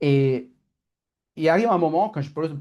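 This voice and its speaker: A man with an Italian accent speaks at a fairly high pitch, his tone dark and mellow. His pitch variation is ordinary, and the background is quiet. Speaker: coach. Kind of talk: online masterclass talk. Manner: fast; halting.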